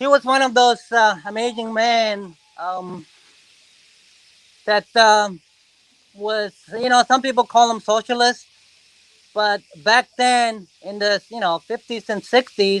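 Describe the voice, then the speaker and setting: Very slow, fairly even speech with long, frequent pauses and a dry, close sound with no echo. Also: man, high pitch for a man. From South Korea, moved to US at 13. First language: Korean. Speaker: reptile zoo founder. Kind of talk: casual interview, facility tour. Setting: on location at facility.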